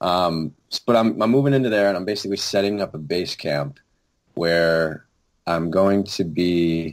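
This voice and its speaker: In a very clean recording with a silent background, a man with an American accent talks at a moderate pace, his very deep, low pitch showing ordinary variation. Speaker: storyteller and content creator. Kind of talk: casual chat.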